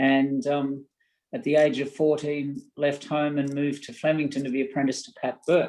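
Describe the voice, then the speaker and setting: A man speaks with an Australian accent at a moderate pace. His voice has a dark, mellow tone and a fairly high pitch. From Australia, rural Victoria (Castlemaine area). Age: 60s. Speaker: horse breeding executive, former stablehand. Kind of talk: webinar panel interview.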